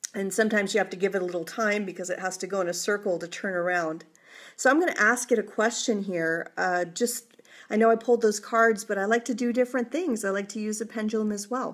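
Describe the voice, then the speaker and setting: Talking at a very fast pace, a woman of medium pitch shows ordinary pitch variation. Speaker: psychic tarot reader. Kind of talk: live tarot reading. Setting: live stream. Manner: hesitant, many fillers.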